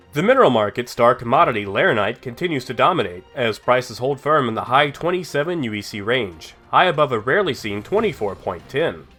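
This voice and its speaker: Speech races at a very fast pace with hardly any pauses, very wide pitch swings and big swings in loudness. Music plays in the background. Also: man, medium pitch for a man. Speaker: gaming news host. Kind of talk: scripted gaming market report narration.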